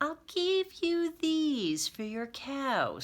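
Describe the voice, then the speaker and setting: This put-on character voice is high-pitched and squeaky. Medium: read story. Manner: persuasive, mysterious.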